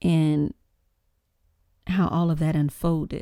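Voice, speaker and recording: A woman with an American accent speaks in a dark, mellow tone, recorded dry and close with no echo. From Louisiana, US. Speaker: YouTuber, commentator. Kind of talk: casual commentary vlog.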